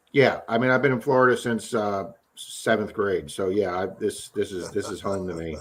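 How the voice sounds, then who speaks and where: Speaking at a moderate pace, a man with a slight Baltimore accent has a fairly low voice and ordinary pitch variation. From Baltimore, Maryland. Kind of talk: casual chat.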